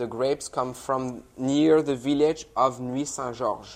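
A man's medium-pitched voice in a French accent at a fairly slow pace. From France, Loire Valley. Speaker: wine company sales director. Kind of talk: interview with wine tasting.

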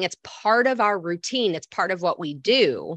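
A speaker with an American accent and an unremarkable speaking voice, moving at a moderate pace with lively intonation. The sound is dry and close with no echo, over a quiet background. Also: woman. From Michigan. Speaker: health coach. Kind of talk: interview conversation.

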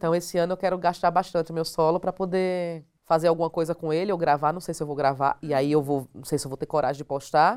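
A woman with a northeastern Brazilian accent speaks at a very fast pace and fairly low pitch. Her intonation is fairly even, and the recording is very clean with a silent background. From Northeast Brazil (Alagoas). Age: 40s. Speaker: stand-up comedian. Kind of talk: casual interview chat.

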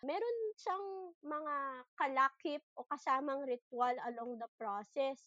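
In a dry, close sound with no echo, a woman uses a raised, projected voice at a high pitch. Her intonation is lively and her pace very slow. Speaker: podcast host. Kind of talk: interview conversation.

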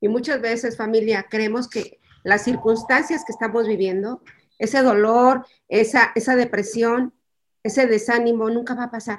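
Speaking at a moderate pace, a woman with an unremarkable speaking voice uses fairly even intonation at a fairly high pitch. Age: 60s. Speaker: bereaved mother. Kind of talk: testimony.

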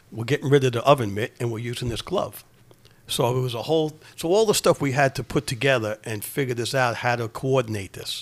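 A man with a New York accent talks at a fairly quick pace in a medium pitch. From New York City, Queens. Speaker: retired fire department deputy chief. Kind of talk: casual interview.

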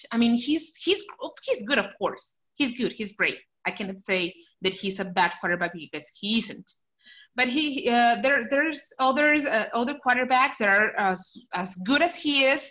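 A woman with a Spanish accent speaks at a high pitch with very wide pitch swings and a bright, sharp tone over a quiet background. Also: moderate pace. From Mexico, Chihuahua. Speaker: Dolphins fan. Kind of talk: casual interview. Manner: halting.

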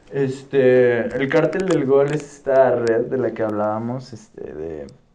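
Medium-pitched male voice at a very slow pace, with audible room echo. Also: big swings in loudness. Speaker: football podcast host. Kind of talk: casual chat. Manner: animated.

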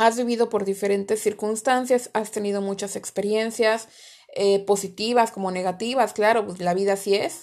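With fairly even intonation, this is an ordinary speaking voice. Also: woman. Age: 30s. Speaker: podcast host. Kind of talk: solo motivational talk.

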